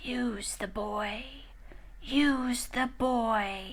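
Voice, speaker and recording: In a put-on character voice, a woman whispers with a hissing sound. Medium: read story. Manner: menacing.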